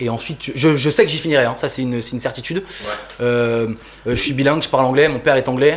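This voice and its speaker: A man's medium-pitched voice at a very fast pace, with ordinary pitch variation and noticeable background noise. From France, Toulouse (grew up). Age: 20s. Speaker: sneaker customizer artist. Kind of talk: casual interview chat.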